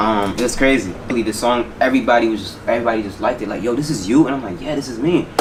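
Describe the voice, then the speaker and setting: A man at medium pitch with ordinary pitch variation, talking at a very fast pace with hardly any pauses, amid audible room echo and noticeable background noise. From New Jersey, US (born in Haiti, moved at five). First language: Haitian Creole / French. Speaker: rapper. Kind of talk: interview. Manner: casual, relaxed.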